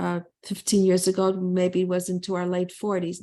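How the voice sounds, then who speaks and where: In a dark, mellow tone, a woman speaks at a medium pitch with monotone, flat intonation. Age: 70s. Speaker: psychologist and author. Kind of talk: interview.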